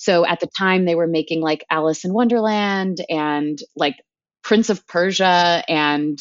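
A woman speaks at a fairly slow pace in a fairly low pitch. She has a plain, everyday voice. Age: 30s. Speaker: TV producer. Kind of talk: casual chat.

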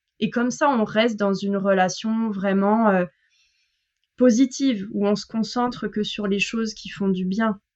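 Fairly slow and fairly even in intonation, a woman speaks at a fairly high pitch. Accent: slight southern French. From southern France. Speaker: French language coach. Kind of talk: casual interview chat. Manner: hesitant, many fillers.

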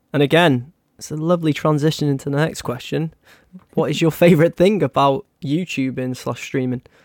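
A man's fairly high voice with a British accent, fairly quick and fairly even in intonation, in a dry, close sound with no echo. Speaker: podcast host. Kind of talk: casual chat. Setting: live online call.

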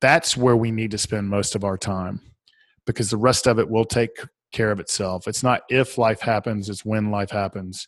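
A man with a Southern US accent speaks at a fairly low pitch and moderate pace, his intonation fairly even over a quiet background. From Atlanta, Georgia, US South. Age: 40s. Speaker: author and speaker. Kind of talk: casual interview.

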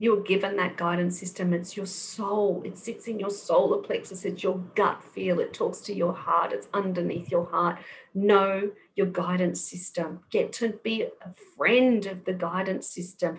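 A somewhat breathy woman at medium pitch talks fairly slowly in a monotone, flat way. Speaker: kinesiologist. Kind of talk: interview. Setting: video call.

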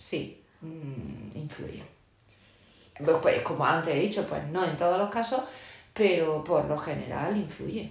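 A woman with a fairly low pitch talks at a fairly slow pace with long, frequent pauses and ordinary pitch variation. There is audible room echo and noticeable background noise. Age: 40s. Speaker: teacher. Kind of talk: interview.

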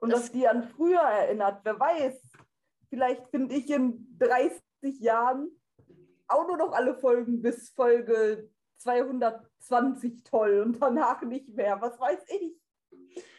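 A woman speaks very slowly in a high voice with ordinary pitch variation. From North Rhine-Westphalia, Germany. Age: 20s. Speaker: blind audio drama fan. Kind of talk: casual interview chat.

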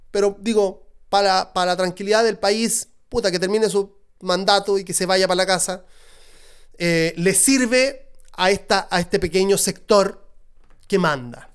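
A man with a Chilean accent, high in pitch and animated in tone, at a fairly slow pace. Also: very clean recording, silent background. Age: 30s. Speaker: podcast host. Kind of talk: solo podcast monologue.

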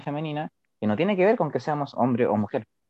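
This man talks at a very fast pace. His fairly high voice has lively intonation. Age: 20s. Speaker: integrative therapist. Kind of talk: casual chat.

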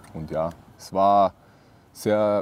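The recording is dry and close with no echo. A man speaks at a fairly low pitch with ordinary pitch variation. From Austria, Vorarlberg. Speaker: professional football goalkeeper. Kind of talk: casual interview.

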